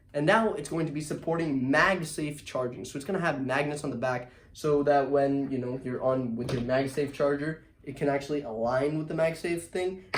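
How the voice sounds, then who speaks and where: A man talks with hardly any pauses in a fairly high pitch. Noticeable background noise can be heard. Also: ordinary pitch variation. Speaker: tech YouTuber. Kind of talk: casual product recap video. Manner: fast; casual, filler-heavy.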